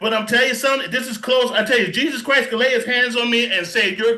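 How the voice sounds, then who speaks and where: An extremely high-pitched man's raised, projected voice, bright, sharp and energetic, at a moderate pace with audible room echo. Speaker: pastor giving product testimony. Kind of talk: testimony. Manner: emotional.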